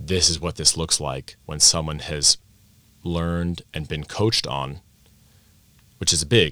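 A man with an American accent and a very deep, low pitch, showing vocal fry and a bright, sharp tone, at a fairly slow pace with long, frequent pauses and ordinary pitch variation, on a very clean recording over a silent background. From Vienna, Austria (American parents). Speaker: language teacher and teacher coach. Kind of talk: interview at a conference. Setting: conference venue.

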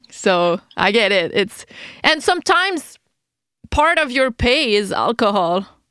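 At a fairly slow pace, a woman with a French Canadian accent speaks at a fairly high pitch with very wide pitch swings and very even loudness, on a very clean recording with a silent background. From Quebec City, Canada. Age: 30s. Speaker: podcast host. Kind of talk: podcast intro and interview. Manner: friendly, casual, laughs often.

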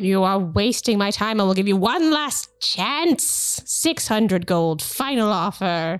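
A female-sounding put-on character voice at a medium pitch moves at a fairly slow pace with hardly any pauses. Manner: impatient, haughty, scornful.

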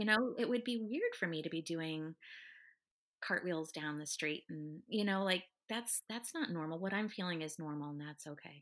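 In an unremarkable speaking voice, a woman with a fairly low pitch speaks at a moderate pace with ordinary pitch variation, on a very clean recording with a silent background. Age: 40s. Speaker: Pilates instructor. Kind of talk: casual chat.

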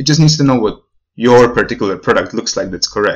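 This is a man speaking. He has a Slovak accent. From Slovakia. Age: 20s. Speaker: podcast guest living abroad. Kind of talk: casual interview.

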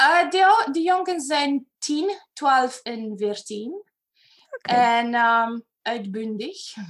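Using very wide pitch swings, a woman with a Romanian accent talks at a very slow pace in a high pitch. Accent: Romanian-accented Dutch. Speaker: personal development facilitator. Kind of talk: interview. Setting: video call. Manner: animated.

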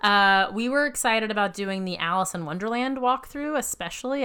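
Speaking in an American accent, a woman uses a bright, sharp tone and lively intonation at a moderate pace. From US South, Savannah, Georgia. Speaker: podcast co-host, former improviser. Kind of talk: casual chat. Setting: home.

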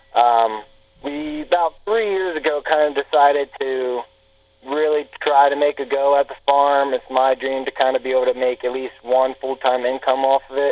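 A man with an American accent and a plain, everyday voice speaks at a moderate pace with fairly even intonation. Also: fairly high pitch for a man. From north central Pennsylvania. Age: 20s. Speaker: pig farmer. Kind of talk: casual interview.

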